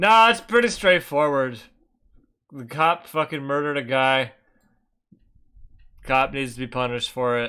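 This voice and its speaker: Against a silent background in a very clean recording, a man speaks at a moderate pace in a fairly high voice with a bright, sharp tone. His intonation is lively, his loudness swings widely, and he takes long, frequent pauses. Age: 20s. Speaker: streamer reacting to political videos. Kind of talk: casual livestream commentary. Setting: livestream.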